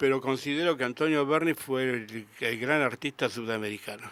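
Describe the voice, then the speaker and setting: An unremarkable speaking voice comes through a very clean recording with a silent background, at a moderate pace with ordinary pitch variation. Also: man. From Argentina, Rosario. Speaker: sculptor. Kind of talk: radio interview. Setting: radio studio.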